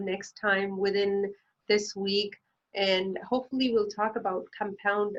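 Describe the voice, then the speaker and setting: Speaking with a non-native accent, a woman uses a medium pitch. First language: not English. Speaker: financial planner. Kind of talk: educational explainer. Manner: hesitant, many fillers.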